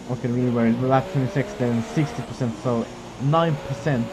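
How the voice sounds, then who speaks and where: With lively intonation and a medium pitch, a man speaks at a fairly quick pace over noticeable background noise. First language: not English. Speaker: sim racing gamer and YouTuber. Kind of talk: gameplay commentary. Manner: animated.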